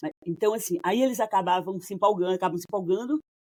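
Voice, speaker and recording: Recorded with a dry, close sound and no echo, a woman speaks in a dark, mellow tone at a fairly low pitch with ordinary pitch variation. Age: 60s. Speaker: couples therapist. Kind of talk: casual interview conversation.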